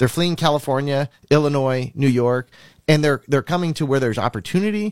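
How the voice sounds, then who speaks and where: A man with an American accent and a plain, everyday voice, medium pitch with ordinary pitch variation, a fairly quick pace, dry, close sound with no echo, very clean recording with a silent background. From Minnesota. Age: 40s. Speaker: congressional candidate. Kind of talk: campaign interview.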